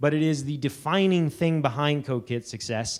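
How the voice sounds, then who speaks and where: A loud, excited man speaks at a fairly high pitch in a very clean recording with a silent background. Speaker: conference speaker. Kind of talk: conference talk. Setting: stage with audience. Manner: loud, awkwardly excited.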